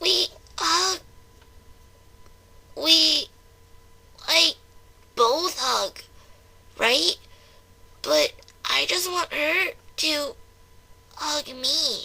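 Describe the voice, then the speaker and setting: A woman speaks in a put-on character voice at an extremely high pitch, moving at a very slow pace with long, frequent pauses. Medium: read story. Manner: halting, stammering.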